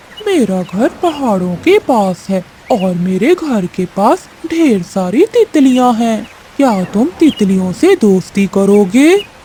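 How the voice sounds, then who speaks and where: A female-sounding, cartoonish character voice with a fairly high pitch talks at a fairly slow pace. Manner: sweet-talking then threatening.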